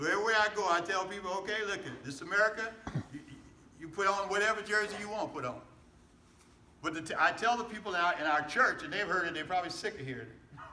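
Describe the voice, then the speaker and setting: With audible room echo and noticeable background noise, a man with a high pitch uses a raised, projected voice and an animated tone at a very fast pace, with long, frequent pauses and big swings in loudness. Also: ordinary pitch variation. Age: 70s. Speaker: pastor. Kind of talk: political rally speech. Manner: animated, repetitive call-and-response.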